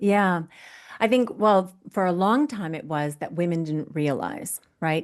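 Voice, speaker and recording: Against a quiet background, a woman with an unremarkable speaking voice speaks in an American accent at a fairly low pitch and a fairly slow pace, with lively intonation. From US. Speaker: fitness coach. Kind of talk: interview.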